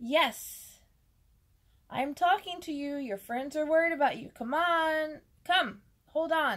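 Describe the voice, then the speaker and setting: Using a put-on character voice, a woman speaks high-pitched at a fairly slow pace, with long, frequent pauses. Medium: read story. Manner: friendly, encouraging.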